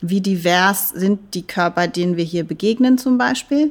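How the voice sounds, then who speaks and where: On a very clean recording with a silent background, a woman speaks in a plain, everyday voice at a medium pitch. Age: 40s. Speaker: dance professor. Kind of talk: interview.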